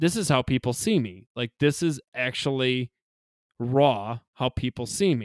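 An unremarkable speaking voice with lively intonation, a dry, close sound with no echo, and a very clean recording with a silent background. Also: man. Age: 30s. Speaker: funeral director. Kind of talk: casual chat.

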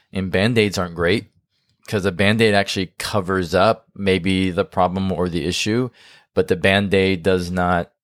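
A man with a very deep, low pitch talks in fairly even intonation with long, frequent pauses, and the sound is dry and close with no echo. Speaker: marriage podcast co-host and coach. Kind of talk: casual chat. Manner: fast.

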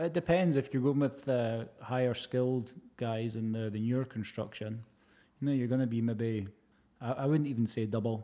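With a Scottish accent and a dark, mellow tone, a man speaks at a medium pitch and a moderate pace, with ordinary pitch variation, against a quiet background. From Scotland, Edinburgh. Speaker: heritage plasterer. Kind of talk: casual chat.

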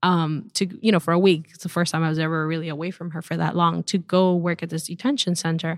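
Speaking very fast with hardly any pauses, a woman with a fairly low pitch and fairly even intonation swings widely in loudness on a very clean recording with a silent background. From Venezuela. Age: 30s. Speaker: immigration attorney. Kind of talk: casual interview.

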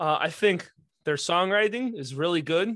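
Quiet background, with a man's voice. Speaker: podcast host. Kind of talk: casual chat. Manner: animated.

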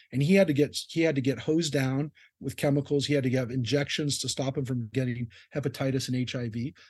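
Against a quiet background, a man with a Californian accent talks at a very fast pace in a medium-pitched, somewhat breathy voice with fairly even intonation. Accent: Californian American. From Southern California. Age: 50s. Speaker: rabbi. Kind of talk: interview conversation.

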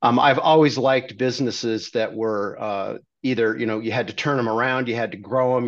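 A man with a normal speaking voice, at a moderate pace and fairly even intonation. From California, Redondo Beach. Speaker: healthcare company CEO. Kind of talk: interview.

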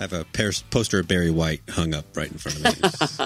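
With music in the background, a man talks at a fairly quick pace in a very deep, low voice with ordinary pitch variation. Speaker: podcast co-host.

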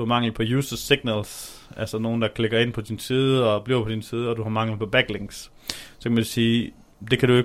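A man at a medium pitch and moderate pace, his intonation monotone and flat. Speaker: podcast co-host on SEO. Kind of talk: casual chat. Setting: shared office, separate mics across room. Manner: loud, almost shouting across room.

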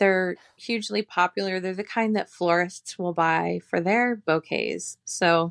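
Over a quiet background, a woman speaks with an American accent in a dry, close sound with no echo. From Arizona, Phoenix area. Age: 40s. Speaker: flower farmer. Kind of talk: interview.

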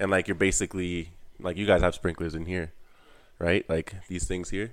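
Over a very clean recording with a silent background, a man talks at a moderate pace in a very deep, low pitch. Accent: Canadian. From Canada, Ontario. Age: 20s. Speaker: apprentice tradesman. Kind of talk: casual chat.

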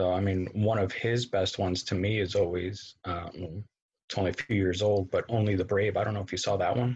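Somewhat breathy and flat in intonation, a man with a fairly low pitch speaks at a fairly quick pace. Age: 30s. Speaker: co-host guest. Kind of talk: casual chat about a movie.

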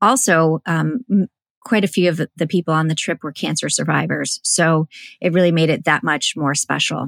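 With vocal fry and a very deep, low pitch, a woman speaks at a moderate pace with ordinary pitch variation in a very clean recording with a silent background. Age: 40s. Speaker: author and entrepreneur. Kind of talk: interview. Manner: halting, many fillers.

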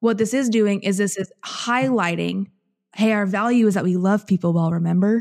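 Speaking with an American accent, a woman with an ordinary speaking voice talks at a moderate pace and medium pitch, with fairly even intonation and a dry, close sound with no echo. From central southern Illinois, US. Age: 20s. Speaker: podcaster and entrepreneur. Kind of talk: casual interview chat.

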